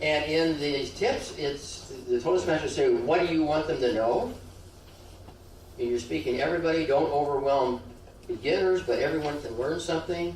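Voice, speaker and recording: A man's lively intonation at a moderate pace, with audible room echo. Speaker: speech pathologist giving a public speaking workshop. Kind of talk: workshop talk. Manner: halting with repetitions; informal, joking.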